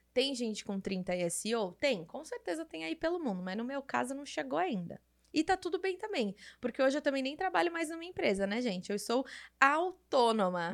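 The background is silent in this very clean recording. Pitch swings very widely throughout. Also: woman. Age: 30s. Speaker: podcast host. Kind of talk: casual solo monologue. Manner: animated.

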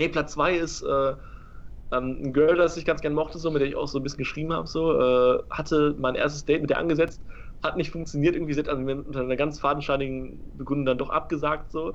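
Speaking very fast, a man holds a fairly high pitch in a flat, monotone way. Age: 20s. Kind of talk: casual chat.

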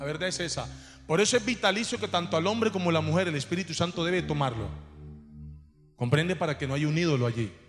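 This man talks at a very fast pace with lively intonation. Long pauses break up his speech often. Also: fairly high pitch for a man. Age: 40s. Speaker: pastor. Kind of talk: sermon. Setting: church.

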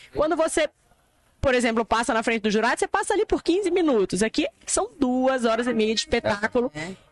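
A woman's high-pitched voice at a fairly quick pace, very wide pitch swings and very even loudness, dry and close with no echo. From Amazonas, Brazil. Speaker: influencer. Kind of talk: interview.

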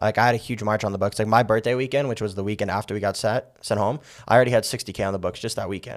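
On a very clean recording with a silent background, a man with a slight New York accent talks very fast in a fairly low pitch with fairly even intonation. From Las Vegas, US. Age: 20s. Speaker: real estate agent. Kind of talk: casual interview.

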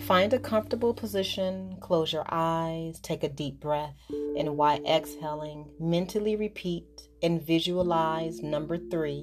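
A woman's very deep, low voice, calm and soothing, with lively intonation at a fairly slow pace. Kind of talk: guided hypnosis relaxation induction. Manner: slow, calm, soothing, hypnotic and repetitive.

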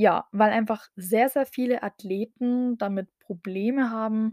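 Dry and close with no echo, a woman's medium-pitched voice has a dark, mellow tone and moves at a very slow pace. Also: very clean recording, silent background. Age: 20s. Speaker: podcast host, bikini fitness athlete. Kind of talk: solo podcast introduction.

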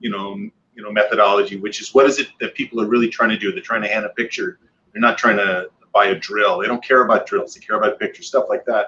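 Speaking at a very fast pace, a man with an American accent shows big swings in loudness. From Michigan. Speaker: podcast co-host. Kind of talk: casual chat.

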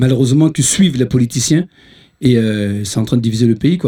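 A man's medium-pitched voice, somewhat breathy with a dark, mellow tone, at a fairly quick pace. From Ivory Coast. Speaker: musician. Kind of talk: casual chat.

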